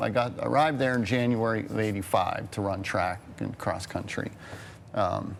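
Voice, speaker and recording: Over noticeable background noise and audible room echo, a man with an American accent talks at a moderate pace in a fairly low voice with ordinary pitch variation. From western Pennsylvania (Pittsburgh area). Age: 50s. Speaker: TV station photographer. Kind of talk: casual interview chat.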